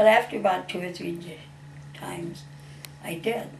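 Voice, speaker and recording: Against noticeable background noise, a woman with a Midwestern American accent and a medium pitch speaks with very wide pitch swings. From Waterloo, Iowa. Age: 80s+. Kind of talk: personal testimony interview answer.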